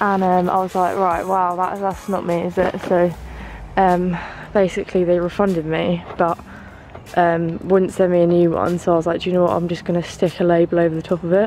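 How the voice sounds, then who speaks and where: Over noticeable background noise, the speaker moves at a fairly quick pace in a southern English accent with monotone, flat intonation. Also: woman, fairly low pitch for a woman. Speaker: fitness vlogger. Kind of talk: casual vlog.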